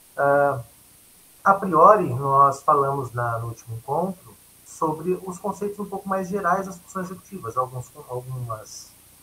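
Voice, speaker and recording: Bright and sharp in tone, a man with a fairly high pitch talks at a fairly slow pace, his intonation lively and his loudness swinging widely. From Brazil, São Paulo state (Catanduva). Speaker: educator, workshop trainer. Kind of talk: lecture. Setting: video call.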